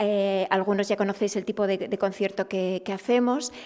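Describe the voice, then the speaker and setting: Against a quiet background, a woman speaks with an Asturian accent at medium pitch. Her pace is moderate and her intonation fairly even. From Asturias. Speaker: festival organizer. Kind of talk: press conference. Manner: halting. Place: meeting room. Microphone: podium.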